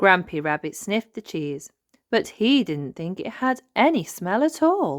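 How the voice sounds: A woman of medium pitch speaks at a fairly slow pace with big pitch swings, in a dry, close sound with no echo on a very clean recording with a silent background.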